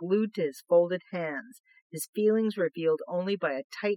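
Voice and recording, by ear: Natural-voiced reading aloud against a quiet background, pitch shifting in an ordinary way.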